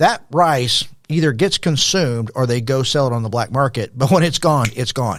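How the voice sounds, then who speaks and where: Over a silent background on a very clean recording, a plain, everyday voice speaks with an American accent. It moves at a moderate pace with ordinary pitch variation. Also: man. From Texas, El Paso. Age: 60s. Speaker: former pastor, nonprofit founder. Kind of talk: podcast interview.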